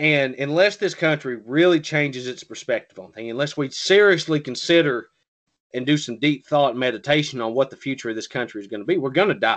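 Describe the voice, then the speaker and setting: Against a quiet background, a man with a Southern US accent speaks fairly quickly in a fairly high pitch, with ordinary pitch variation. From US South. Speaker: podcast co-host. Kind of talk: casual political discussion.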